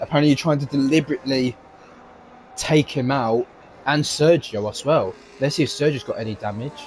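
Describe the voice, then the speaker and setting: A man talks at a fairly high pitch and fairly quick pace, with ordinary pitch variation and long, frequent pauses. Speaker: sim racing co-commentator. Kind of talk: live commentary.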